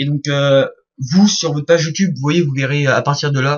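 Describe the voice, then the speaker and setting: Speaking at a fairly quick pace, a man with a fairly high pitch sounds somewhat breathy, with ordinary pitch variation. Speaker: YouTube graphic design creator. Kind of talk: tutorial. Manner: fast; hesitant, many fillers.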